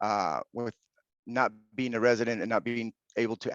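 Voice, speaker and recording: Against a quiet background, a man with a Spanish accent speaks at a moderate pace and medium pitch, the sound dry and close with no echo. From Venezuela, then Utah, US. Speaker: online teacher. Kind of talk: podcast interview.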